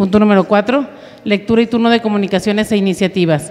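A woman speaks with ordinary pitch variation. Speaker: council secretary reading agenda. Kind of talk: formal agenda reading. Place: meeting room. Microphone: podium.

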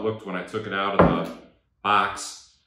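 The voice belongs to a man. Behind him, background noise is noticeable. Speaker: DIY reviewer. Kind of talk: tutorial. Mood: wry, humorous. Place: garage.

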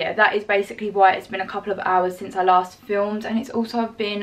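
Her intonation fairly even, a woman talks at a fairly quick pace. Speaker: fitness vlogger. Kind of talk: casual vlog chat. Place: home room. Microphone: phone near.

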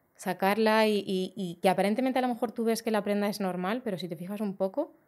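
Fairly even intonation from a woman. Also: quiet background. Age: 40s. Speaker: fashion designer; guest. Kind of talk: casual chat. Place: studio. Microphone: studio mic.

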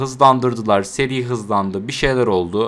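Here a man speaks at a medium pitch. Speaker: anime YouTuber. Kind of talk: casual video monologue. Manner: conversational, unscripted.

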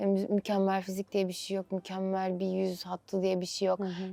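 A woman speaks with a dark, mellow tone. Her pace is moderate. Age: 20s. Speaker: actress. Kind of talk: interview.

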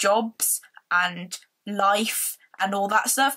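Spoken at a very slow pace in a northern English accent, the voice sits over a quiet background. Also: woman. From northern England. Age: 20s. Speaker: vlogger. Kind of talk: casual vlog. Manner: rambling, animated. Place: home room. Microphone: phone near.

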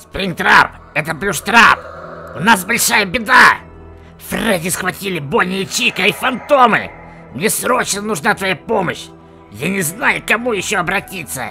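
A man speaks at a moderate pace in a high, put-on character voice. Clear music plays in the background. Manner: panicked, urgent.

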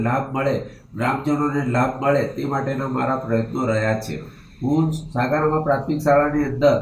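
There is noticeable background noise and audible room echo. Through it, a man speaks in a fairly high voice. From Dahod district, Gujarat, India. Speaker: primary school head teacher. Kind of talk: testimony. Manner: formal.

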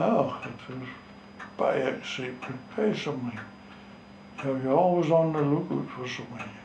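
With a strong North East Scottish accent, a man speaks at a fairly high pitch with lively intonation and long, frequent pauses, over light background noise and audible room echo. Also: moderate pace, big swings in loudness. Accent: North East Scots dialect, strong. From North East Scotland, Gourdon; Scotland. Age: 90s. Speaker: retired fishing skipper. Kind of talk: oral history interview. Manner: halting. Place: home room.

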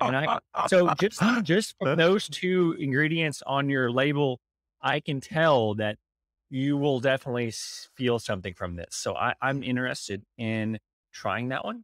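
Against a quiet background with dry sound and no echo, a man talks at a fairly slow pace. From United States. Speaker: podcast host. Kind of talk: interview. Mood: relaxed, curious. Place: home room. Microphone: studio mic.

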